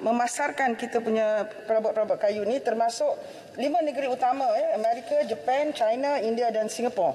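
Over light background noise, a woman speaks at a high pitch and a moderate pace. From Malaysia. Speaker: government minister. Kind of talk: parliamentary answer. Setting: parliament chamber. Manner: halting, many fillers. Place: hall. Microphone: podium.

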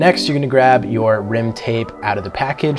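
At a fairly quick pace, a man speaks while clear music plays in the background. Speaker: presenter. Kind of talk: tutorial. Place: studio.

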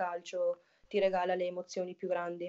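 Against a quiet background, a woman speaks in a flat monotone at a moderate pace. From northern Italy. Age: 20s. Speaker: women's footballer. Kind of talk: casual interview. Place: home room. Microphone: video call.

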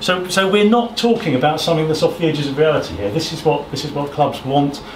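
A man talks at a fairly quick pace, with light background noise and audible room echo. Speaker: presenter. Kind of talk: presentation talk. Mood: relaxed, smiling. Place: hall. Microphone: camera far.

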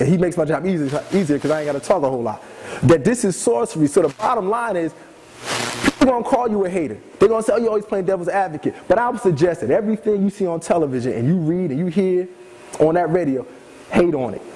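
A man at a very fast pace, high in pitch, with lively intonation, over noticeable background noise. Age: 30s. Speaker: former TV producer. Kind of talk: lecture.

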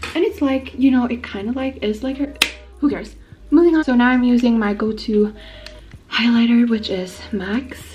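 A woman's speech has ordinary pitch variation and a moderate pace, with faint music in the background. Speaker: beauty vlogger. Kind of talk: casual makeup tutorial vlog chat. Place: bathroom. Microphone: phone near.

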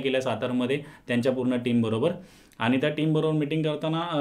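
Over a quiet background, a man speaks in a flat monotone at a fairly high pitch. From Mumbai, India; India. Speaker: businessman making a fraud complaint. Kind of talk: public statement to camera. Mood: aggrieved, earnest. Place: studio.

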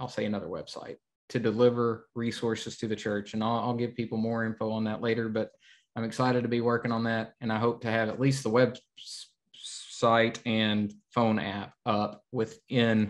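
A man with a fairly low pitch speaks at a moderate pace, with little pitch movement.

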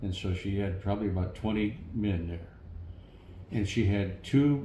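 With an American accent, a man speaks very slowly at a fairly low pitch over noticeable background noise. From St. Louis, Missouri. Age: 70s. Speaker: war veteran. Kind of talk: interview answer. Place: home room.

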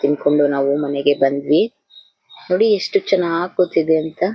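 A woman is speaking here. Her pitch is very deep and low. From Karnataka, Hassan district (Konanur). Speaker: vlogger. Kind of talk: travel vlog narration.

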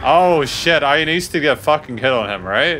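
Over music in the background, a man speaks with a fairly high pitch and lively intonation. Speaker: gaming YouTuber. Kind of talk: let's play commentary. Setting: home recording with webcam. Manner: animated.

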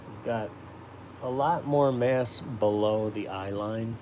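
Through noticeable background noise, a man with a fairly low pitch talks very slowly. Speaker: caricature artist livestreamer. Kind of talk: casual live drawing stream. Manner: casual, chatty, friendly. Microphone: phone near.

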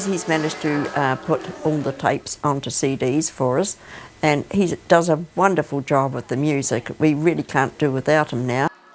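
A woman with a New Zealand accent speaks at a moderate pace in a very deep, low voice with ordinary pitch variation. Noticeable background noise runs behind her. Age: 70s. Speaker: leisure marching team leader. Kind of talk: documentary interview answer.

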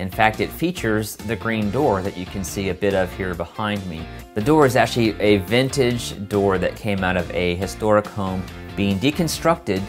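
Clear music plays behind a man with a fairly low voice who talks at a moderate pace. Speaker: channel host. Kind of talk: channel announcement to camera. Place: studio.

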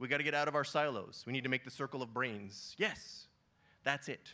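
With a bright, sharp tone, a man at a medium pitch talks at a fairly quick pace with ordinary pitch variation. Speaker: synthetic biology scientist speaker. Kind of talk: conference talk. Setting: conference stage with audience. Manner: casual, conversational, animated. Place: stage. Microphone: handheld.

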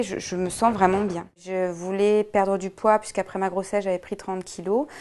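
Medium pitch and a dark, mellow tone from a woman. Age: 20s. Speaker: weight-loss program customer; interviewee. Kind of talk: testimonial. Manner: hesitant, frequent fillers and repetitions. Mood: calm, content. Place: shop.

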